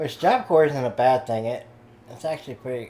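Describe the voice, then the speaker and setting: The speaker has a slight Southern US accent and fairly even intonation. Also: man. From Kansas. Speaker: gamer on voice chat. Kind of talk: casual chat.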